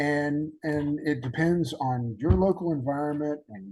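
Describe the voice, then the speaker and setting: In a Southern US accent, a man with a dark, mellow tone and fairly high pitch speaks at a fairly slow pace with ordinary pitch variation. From Alabama, US South. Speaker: podcast host. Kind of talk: casual interview chat. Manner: halting, many fillers.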